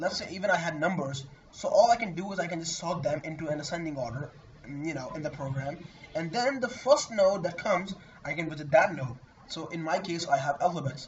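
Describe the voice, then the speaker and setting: Against noticeable background noise, a man with a high voice talks at a fairly quick pace. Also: ordinary pitch variation. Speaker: programming tutor. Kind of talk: tutorial. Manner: halting.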